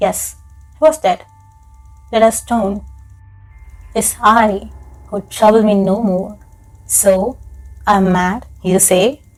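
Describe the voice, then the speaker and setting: A woman at medium pitch, very slow pace and long, frequent pauses, with music in the background. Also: fairly even intonation. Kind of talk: audiobook-style horror story narration, ASMR. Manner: soft, intimate, slow.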